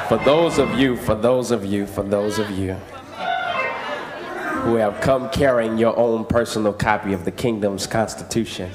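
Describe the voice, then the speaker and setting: A man talks at a moderate pace with long, frequent pauses. Noticeable background noise can be heard. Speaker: pastor. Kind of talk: church sermon. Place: church. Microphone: podium.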